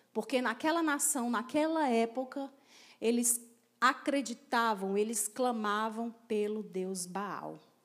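Very slow delivery from a woman, fairly high in pitch, with ordinary pitch variation. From Ceará, Brazil (Crateús). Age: 40s. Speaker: pastor. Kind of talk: sermon. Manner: animated.

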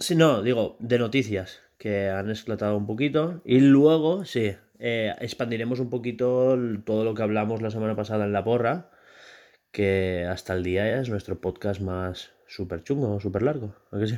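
The voice has a dark, mellow tone and ordinary pitch variation at a moderate pace, on a very clean recording with a silent background. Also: man, medium pitch for a man. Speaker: podcast host and indie game developer. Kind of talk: casual chat.

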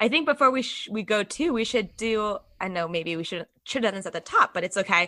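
A woman with an American accent speaks at medium pitch in a bright, sharp tone. The sound is dry and close, with no echo. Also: lively intonation, fairly quick pace. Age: 30s. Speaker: comedian. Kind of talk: casual chat. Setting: video call.

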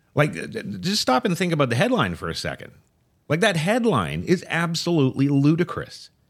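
A man speaks at a fairly quick pace with vocal fry, his fairly high pitch moving through very wide swings on a very clean recording with a silent background. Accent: American. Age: 50s. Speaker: political talk show co-host. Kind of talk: casual political talk show. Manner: halting, repeats words.

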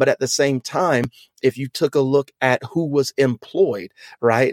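A man with an American accent speaks in an ordinary speaking voice, medium in pitch. He goes at a fairly slow pace, the sound dry and close with no echo. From US South, Louisiana. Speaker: pastor and podcast host. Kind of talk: casual discussion.

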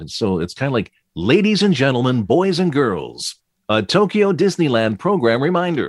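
His pitch swings very widely as he goes. The man keeps to a fairly slow pace. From US Midwest (Flint, Michigan). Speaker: voice-over narrator and radio DJ. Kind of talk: interview.

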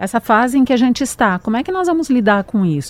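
A woman's voice with very wide pitch swings. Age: 50s. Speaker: radio host. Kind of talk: casual chat.

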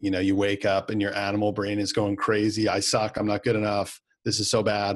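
Delivered at a fairly quick pace, the voice has a Canadian accent, a monotone, flat intonation and very even loudness. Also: man, fairly low pitch for a man. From Canada, Winnipeg. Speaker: business coach. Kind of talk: interview.

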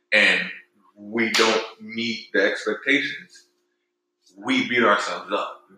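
Long, frequent pauses mark this man's very slow speech, heard with audible room echo. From Haiti. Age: 20s. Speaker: musician. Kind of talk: casual chat.

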